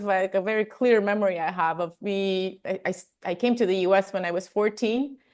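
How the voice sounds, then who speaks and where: With an American accent, a woman talks at a moderate pace. The background is quiet. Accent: Armenian-tinged American English. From Armenia. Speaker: health and wellness coach. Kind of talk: interview conversation.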